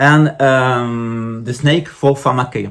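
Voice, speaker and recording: Speaking with a French accent, a man holds a medium pitch with ordinary pitch variation at a very slow pace. The recording is very clean, with a silent background. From France. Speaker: spiritual teacher. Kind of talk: lecture. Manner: halting.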